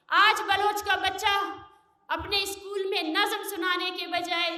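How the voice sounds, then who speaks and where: A woman with a raised, projected voice. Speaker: human rights activist. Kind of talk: public speech at a press club. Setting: outdoor rally or press event. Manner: fiery, impassioned.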